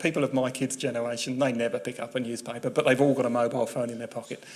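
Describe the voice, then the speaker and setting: A man talks with a southern English accent. Noticeable background noise runs underneath. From England, West Sussex. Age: 50s. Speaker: journalist. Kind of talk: public talk. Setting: talk with live audience.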